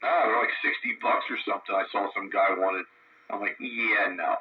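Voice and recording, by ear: A man with a fairly low pitch and a slightly husky edge speaks at a moderate pace with fairly even intonation.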